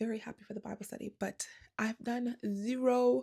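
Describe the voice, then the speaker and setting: A woman with a dark, mellow tone sounds somewhat breathy, at a moderate pace with fairly even intonation. The sound is dry and close with no echo. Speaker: crochet vlogger. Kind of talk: casual vlog. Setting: yarn shop.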